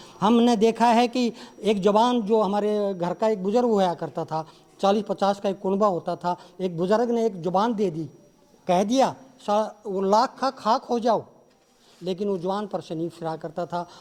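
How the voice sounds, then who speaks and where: There is noticeable background noise. A man talks at a high pitch with ordinary pitch variation. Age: 60s. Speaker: songwriter and actor. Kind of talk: press conference interview. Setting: press conference with journalists.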